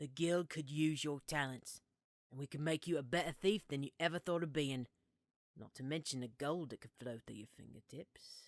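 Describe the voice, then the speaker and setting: Using a put-on character voice, a woman speaks at a moderate pace in a gruff, very deep, low pitch with big swings in loudness, in a very clean recording with a silent background. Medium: read story. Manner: wry, sarcastic.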